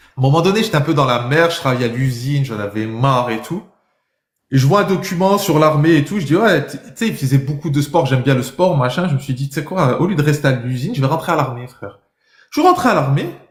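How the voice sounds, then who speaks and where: A man's fairly high, somewhat breathy voice at a very fast pace, animated in tone, with lively intonation and big swings in loudness. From France. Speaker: livestreamer debating viewers. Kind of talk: heated debate.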